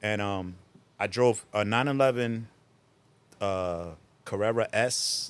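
With a New Jersey accent, a man speaks at a very slow pace in a fairly low pitch, leaving long, frequent pauses. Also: ordinary pitch variation. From Newark, New Jersey (born Puerto Rico, moved 1980). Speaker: drift event tech inspector. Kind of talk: casual chat.

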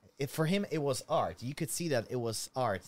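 A man speaks with a Slovak accent and lively intonation. The recording is very clean, with a silent background. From Slovakia. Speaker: YouTuber. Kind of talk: casual chat.

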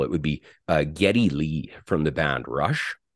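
A man with a Western Canadian accent, fairly slow, with vocal fry, against a quiet background. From Alberta, Canada (St. Albert near Edmonton). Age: 50s. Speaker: musician, former bass player. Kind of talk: interview.

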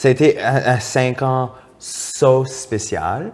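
A man at a medium pitch, animated in tone. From Acadia, Moncton, New Brunswick. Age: 20s. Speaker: drag queen and TikTok personality. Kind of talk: casual chat.

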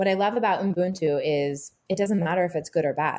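A woman with an American accent speaks at a moderate pace with ordinary pitch variation, in an ordinary speaking voice. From Texas. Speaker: personal trainer and fitness producer. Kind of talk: casual interview chat.

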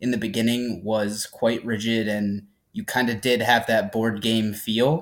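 A man with an American accent uses an ordinary speaking voice at a medium pitch. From upstate New York, near Albany. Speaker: podcast co-host. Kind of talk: interview.

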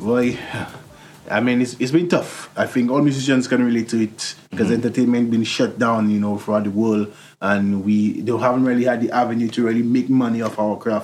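A man in a St Lucian accent talks at a fairly quick pace with very even loudness. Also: medium pitch for a man, fairly even intonation. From St Lucia, Soufrière. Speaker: musician. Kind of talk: interview.

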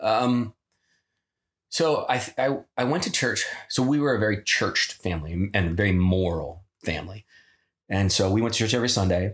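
Speaking with an American accent, a man keeps a moderate pace and very even loudness, with lively intonation and long, frequent pauses. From US Midwest, Ohio (Pickerington, near Columbus). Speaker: former wrestler. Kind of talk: casual chat.

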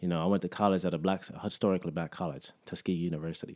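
With an American accent, a man speaks at a very fast pace in a very deep, low pitch. His intonation is monotone and flat, and the recording is very clean against a silent background. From Alabama, raised partly in Jamaica and South Florida. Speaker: vegan community figure, festival organizer. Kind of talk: casual interview chat.

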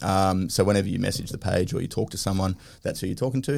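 The speech moves at a very fast pace with vocal fry. Pitch varies in an ordinary way. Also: man. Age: 30s. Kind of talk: casual chat.

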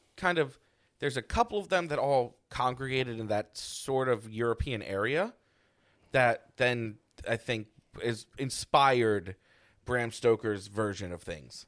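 A man's voice at medium pitch. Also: very clean recording, silent background. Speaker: podcast co-host. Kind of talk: casual banter podcast chat.

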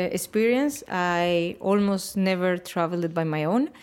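A woman speaks with a strong Spanish accent at a moderate pace, her intonation lively. The recording is very clean, with a silent background. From Spain, Valencia. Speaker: interviewer. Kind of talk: interview.

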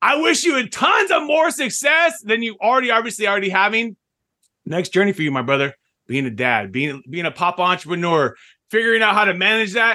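Projecting a raised voice in a quiet background, a man talks at a fairly quick pace with a high pitch, a bright, sharp tone and very wide pitch swings. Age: 40s. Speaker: podcast host and business owner. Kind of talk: casual interview.

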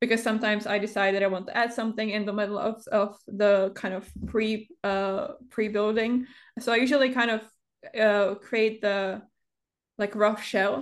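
Against a quiet background, a woman speaks at a fairly high pitch in a flat monotone. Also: moderate pace. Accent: non-native. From Europe. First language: not English. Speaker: Sims builder and content creator. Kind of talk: casual interview chat. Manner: halting, pauses often, many fillers.

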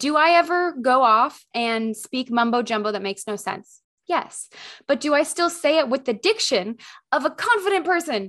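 Against a quiet background, a woman speaks in an animated tone at a high pitch with very wide pitch swings. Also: moderate pace. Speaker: podcast host and camera confidence coach. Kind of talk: solo podcast monologue. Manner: loud.

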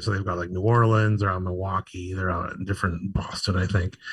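On a very clean recording with a silent background, a somewhat breathy man with an American accent speaks with fairly even intonation. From Pittsburgh, western Pennsylvania. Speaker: food blogger, TV cooking show judge. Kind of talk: casual chat. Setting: live podcast at a bar stage.

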